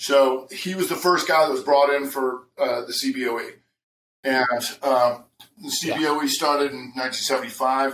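The speech comes at a fairly slow pace with audible room echo. Light background noise is present. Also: man, fairly high pitch for a man. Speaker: trading educator. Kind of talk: interview. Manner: animated. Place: home room.

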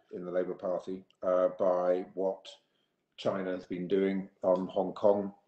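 Audible room echo surrounds a man whose fairly low voice has a dark, mellow tone at a fairly slow pace. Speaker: politician panelist. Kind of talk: prepared remarks in a webinar. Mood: serious, concerned. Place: home room. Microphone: video call.

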